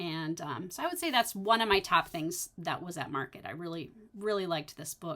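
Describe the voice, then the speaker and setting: A woman with an American accent talks at a moderate pace in an ordinary speaking voice, her pitch fairly low. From North Dakota, US Midwest. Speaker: stitching shop owner and video host. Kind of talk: casual solo vlog chat. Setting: home recording on computer.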